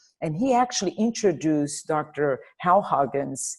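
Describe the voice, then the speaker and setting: A woman speaks in a Portuguese accent at a fairly low pitch. Her intonation is lively, and the background is quiet. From Brazil, Rio de Janeiro. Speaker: dentist. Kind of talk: interview.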